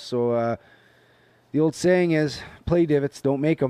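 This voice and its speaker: A man with an unremarkable speaking voice talks at a moderate pace with ordinary pitch variation, the sound dry and close with no echo over a quiet background. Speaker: co-host. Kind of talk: casual chat about golf.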